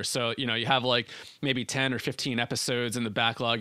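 On a very clean recording with a silent background, a man with an American accent talks in a bright, sharp tone. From New Jersey, US. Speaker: podcast co-founder and breathwork facilitator. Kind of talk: interview conversation.

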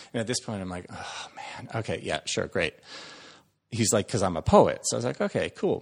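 Speaking at a fairly quick pace, a man lets his volume rise and fall in big swings. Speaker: actor. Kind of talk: casual storytelling. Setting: podcast interview.

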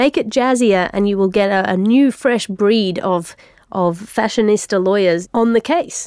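A woman's medium-pitched, unremarkable speaking voice, with very even loudness, ordinary pitch variation and a fairly slow pace. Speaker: podcast host. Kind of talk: comedic scripted satirical news show with mock ads and letters.

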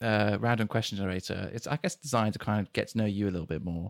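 Recorded dry and close with no echo, this man speaks at a fairly low pitch. His pitch varies in an ordinary way. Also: very clean recording, silent background. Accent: British. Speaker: podcast host. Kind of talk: casual interview chat.

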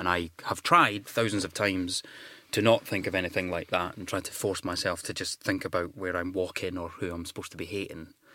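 The man's voice is very deep and low, yet bright and sharp in tone. He speaks at a fairly quick pace with monotone, flat intonation. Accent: Scottish. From Scotland. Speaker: actor. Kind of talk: casual interview chat.

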